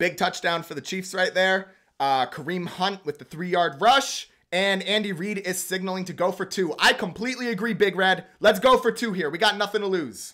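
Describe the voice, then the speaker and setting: On a very clean recording with a silent background, a man projects a raised, high-pitched voice with a bright, sharp tone and an animated, excited delivery. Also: ordinary pitch variation, moderate pace. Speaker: sports streamer doing play-by-play. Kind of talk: live commentary.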